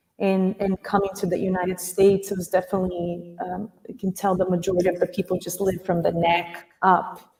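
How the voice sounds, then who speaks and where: A woman speaks at a fairly quick pace with a Portuguese accent. Her voice is somewhat breathy, with monotone, flat intonation. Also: medium pitch for a woman. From Brazil. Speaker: acupuncturist and dance teacher. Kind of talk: interview. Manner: halting.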